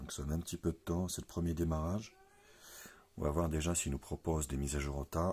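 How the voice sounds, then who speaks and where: Speaking at a fairly quick pace, a man uses a very deep, low pitch and fairly even intonation. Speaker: tech reviewer. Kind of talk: unboxing tutorial. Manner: casual.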